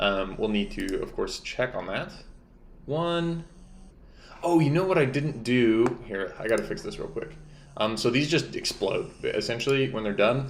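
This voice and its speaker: The man talks at a moderate pace. Audible room echo surrounds his voice. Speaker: game developer streamer. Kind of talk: live-stream tutorial. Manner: casual, thinking aloud.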